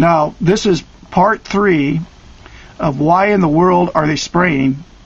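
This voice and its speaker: A man with an American accent speaks at a very slow pace and a high pitch, with ordinary pitch variation and very even loudness. Background noise is noticeable. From Oregon. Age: 50s. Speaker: online video commentator. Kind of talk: direct-to-camera rant. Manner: animated.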